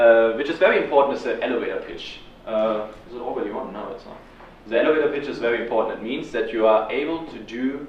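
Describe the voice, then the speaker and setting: A man at a very fast pace, with ordinary pitch variation, big swings in loudness, audible room echo and noticeable background noise. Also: medium pitch for a man. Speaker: student activist leader. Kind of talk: talk to a student audience. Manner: frequent ums.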